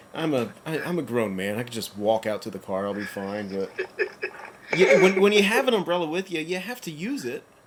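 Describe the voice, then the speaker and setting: A man with a fairly high pitch talks at a fairly quick pace, with very wide pitch swings and big swings in loudness over noticeable background noise. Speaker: podcast host. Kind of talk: casual chat. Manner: halting, stutters over names.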